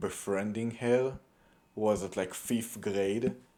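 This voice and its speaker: A man with a non-native accent talks very slowly at a fairly low pitch. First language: not English. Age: 20s. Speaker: young soldier vlogger. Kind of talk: casual vlog monologue. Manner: halting, many fillers and restarts.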